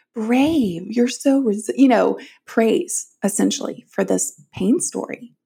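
Somewhat breathy and fairly high, a woman's voice carries lively intonation. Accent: American. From US South. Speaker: author. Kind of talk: interview.

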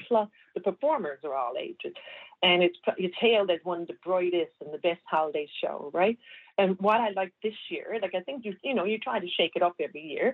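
Speaking at a fairly quick pace, a woman with a Newfoundland accent uses a medium pitch. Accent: Newfoundland English, noticeable. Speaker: community reporter. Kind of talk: casual radio chat, event listings.

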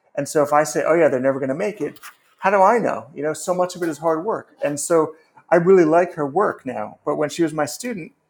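This man has an ordinary speaking voice with an American accent and a fairly high pitch. He talks at a moderate pace with ordinary pitch variation. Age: 50s. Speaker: novelist and writing teacher. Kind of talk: casual interview.

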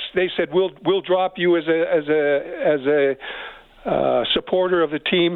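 Someone with a Canadian accent speaks fairly slowly, with very even loudness and fairly even intonation, over noticeable background noise. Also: man, high pitch for a man. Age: 70s. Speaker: caller. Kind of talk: heated rant, casual. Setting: phone call.

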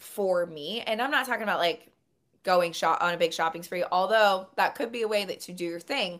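A normal speaking voice is heard in a very clean recording with a silent background. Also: woman. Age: 30s. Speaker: dating coach. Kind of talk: casual chat. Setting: call.

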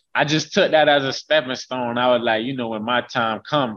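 A man speaks at a moderate pace in an unremarkable speaking voice, his pitch medium with ordinary variation. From Haines City, Polk County, Florida. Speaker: college football player, NFL prospect. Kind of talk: interview.

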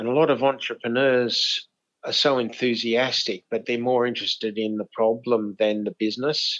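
The speaker has an Australian accent, a moderate pace and fairly even intonation. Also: man, medium pitch for a man. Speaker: inventor. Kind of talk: interview.

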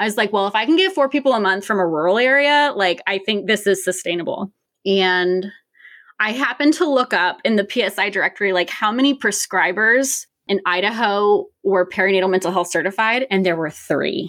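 A woman's plain, everyday voice with an American accent, medium pitch, lively intonation, very even loudness and a fairly quick pace, in a very clean recording with a silent background. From Richmond, Virginia. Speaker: nurse practitioner. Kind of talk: interview.

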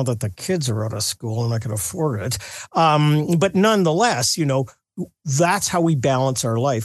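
Over a quiet background, a man with an unremarkable speaking voice talks at a moderate pace and a fairly high pitch, with lively intonation. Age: 60s. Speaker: pollster, polling company executive. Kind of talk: radio interview.

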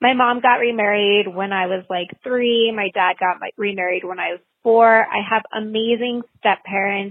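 A woman with a normal speaking voice, medium in pitch, at a moderate pace with fairly even intonation and hardly any pauses. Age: 30s. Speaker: listener leaving a voicemail. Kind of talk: voicemail testimony. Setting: phone voicemail.

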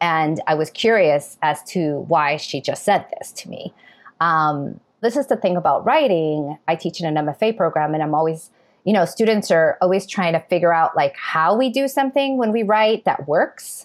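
A woman with an American accent talks at a moderate pace in an ordinary speaking voice, fairly low in pitch with lively intonation. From New York City. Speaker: novelist and professor. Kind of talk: interview.

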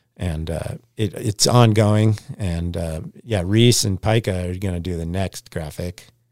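A man with an American accent and a very deep, low pitch speaks with fairly even intonation in a very clean recording with a silent background, the sound dry and close with no echo. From Alaska, Anchorage. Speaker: pro snowboarder. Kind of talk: casual chat. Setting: studio.

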